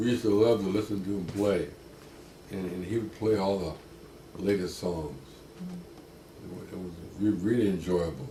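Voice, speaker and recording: A man with a fairly low pitch and a dark, mellow tone sounds somewhat breathy, with ordinary pitch variation. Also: moderate pace. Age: 80s+. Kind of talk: interview answer.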